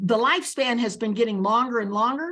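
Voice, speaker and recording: A woman talks at a moderate pace in an American accent. Her pitch swings very widely. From Nicaragua, raised in the US from age three. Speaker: leadership author and advocate. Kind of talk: interview. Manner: animated.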